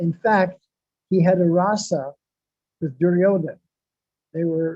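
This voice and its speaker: Speaking at a fairly slow pace, a man uses a high pitch, a dark, mellow tone and fairly even intonation. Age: 70s. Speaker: spiritual speaker. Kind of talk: religious discourse. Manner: halting.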